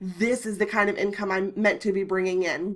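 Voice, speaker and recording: A woman speaks in a bright, sharp tone. Her pace is moderate. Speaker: blogger and business coach. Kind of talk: tutorial. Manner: casual, filler-heavy.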